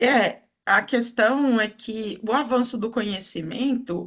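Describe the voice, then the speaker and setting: A woman's fairly high voice at a very slow pace. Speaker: food microbiology professor. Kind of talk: podcast interview.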